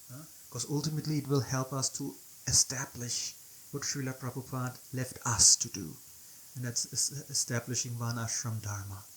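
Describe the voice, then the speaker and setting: A German accent shapes the speech. It moves at a moderate speed. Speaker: devotional teacher. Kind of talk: video presentation. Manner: halting.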